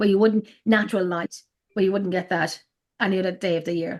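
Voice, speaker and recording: This woman speaks in an Irish accent. Her pitch varies in an ordinary way. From Ireland, Drogheda (County Louth). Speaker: paranormal investigator. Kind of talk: casual chat. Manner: halting.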